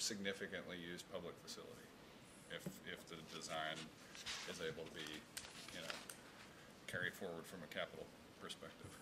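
Over loud background noise, a man rattles along at a very fast pace. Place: meeting room. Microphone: podium.

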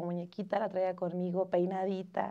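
Over a quiet background, a woman speaks at a fairly quick pace. Her voice has a medium pitch and a dark, mellow tone. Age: 20s. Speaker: mother and student. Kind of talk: casual chat. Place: studio.

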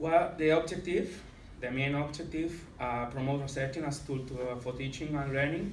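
With a Catalan accent and fairly even intonation, the voice carries audible room echo and light background noise. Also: man, moderate pace. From Catalonia, Spain. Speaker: secondary school teacher. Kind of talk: conference presentation. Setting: conference with slides. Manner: halting, hesitant with many fillers. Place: meeting room. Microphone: camera far.

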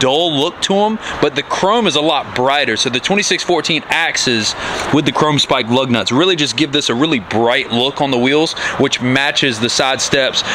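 Noticeable noise sits in the background. Over it, a man talks at a moderate speed. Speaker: truck shop vlogger. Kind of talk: casual vlog commentary. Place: street. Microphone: phone near.

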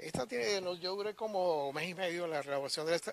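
Speaking at a fairly quick pace, a man has a high pitch with ordinary pitch variation. The sound is dry with no echo, with light background noise. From Venezuelan Andes, San Cristóbal. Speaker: sculptor. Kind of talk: interview. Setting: outdoors, garden. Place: garden. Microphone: handheld.

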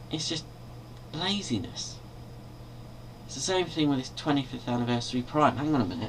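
A man with a British accent speaks with lively intonation and long, frequent pauses over light background noise. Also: medium pitch for a man, moderate pace. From Britain. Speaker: video blogger and toy collector. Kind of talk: angry rant, complaining about toy reissues, swearing. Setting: bedroom, webcam video, filmed at night. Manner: irritated, exasperated, rhetorical questions, rambling. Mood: annoyed, complaining. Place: home room. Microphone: webcam.

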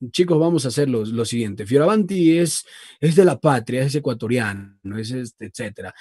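The recording is dry with no echo and a quiet background. A man speaks with lively intonation. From Ecuador, Loja; Ecuador. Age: 20s. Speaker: voice-over artist and radio announcer; radio announcer. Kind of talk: casual interview chat. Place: studio. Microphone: video call.

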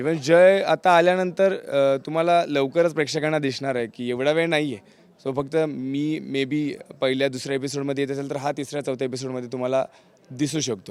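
The intonation stays fairly even. It is a plain, everyday voice. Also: man, fairly high pitch for a man. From rural Maharashtra, Pandharpur area. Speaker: TV serial actor. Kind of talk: interview.

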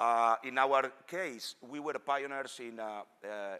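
His tone is bright and sharp. The man speaks with ordinary pitch variation. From Spain. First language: Spanish. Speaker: engineer; presenter. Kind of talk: technical presentation. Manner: halting. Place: hall.

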